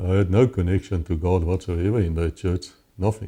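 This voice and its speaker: A man with a South African accent speaks at a moderate pace in a very deep, low voice, somewhat breathy with a dark, mellow tone. The recording is very clean, with a silent background. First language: Afrikaans. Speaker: former police officer. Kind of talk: interview testimony.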